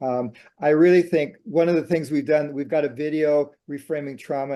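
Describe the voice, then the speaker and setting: Over a quiet background, a man with a dark, mellow tone talks at a moderate pace and a fairly high pitch, with ordinary pitch variation. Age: 70s. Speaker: psychotherapist. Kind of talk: interview.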